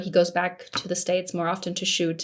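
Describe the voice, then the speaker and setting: A woman of medium pitch talks with an American accent. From Majorca, Spain. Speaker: film festival founder and consultant. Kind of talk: interview.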